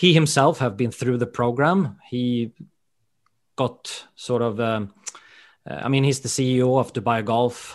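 A man speaks with a Swedish accent at a moderate pace. His pitch is medium, with ordinary variation. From Sweden. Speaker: golf education director. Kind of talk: interview.

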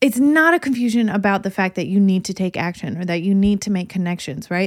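A woman with a medium pitch talks at a fairly quick pace with hardly any pauses, her tone animated and her intonation lively, in a very clean recording with a silent background. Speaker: marketing coach podcast host. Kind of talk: solo podcast rant. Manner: fired up, animated, loud; casual, conversational, profane-friendly.

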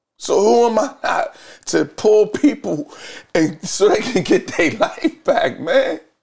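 Speaking at a very slow pace, a man keeps his loudness very even. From Philadelphia (West Philly). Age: 40s. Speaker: recovery advocate, former addict. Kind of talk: interview testimony.

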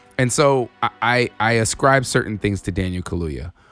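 With an American accent, a man speaks at a moderate pace and with lively intonation while music plays in the background. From Inland Empire, Southern California. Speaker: podcast co-host. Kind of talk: casual chat.

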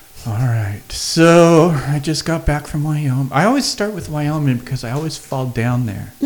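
Over noticeable background noise, a man with a fairly high pitch talks at a moderate pace with hardly any pauses and ordinary pitch variation. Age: 50s. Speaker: comedian. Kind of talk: casual chat. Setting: studio.

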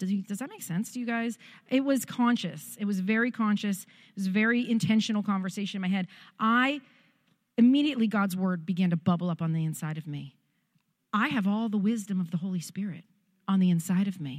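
Animated and somewhat breathy, a woman talks at a fairly quick pace and medium pitch with ordinary pitch variation and big swings in loudness, on a very clean recording with a silent background. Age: 40s. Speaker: pastor. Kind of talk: sermon.

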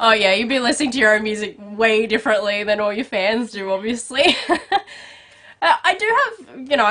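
Speaking at a moderate pace with an Australian accent, a woman sounds upbeat and animated, her fairly high pitch showing ordinary pitch variation. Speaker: entertainment podcast host and interviewer. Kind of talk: celebrity interview. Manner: upbeat, animated.

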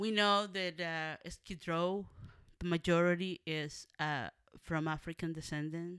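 A woman with a fairly low pitch speaks at a fairly slow pace with a Spanish accent. The sound is dry and close with no echo, on a very clean recording with a silent background. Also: fairly even intonation. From Mexico, Monterrey, Nuevo León. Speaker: community organizer. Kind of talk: interview.

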